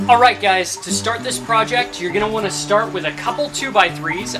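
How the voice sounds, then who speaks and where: Clear background music behind a man talking at a moderate pace. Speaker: woodworking channel host. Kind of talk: tutorial. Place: workshop.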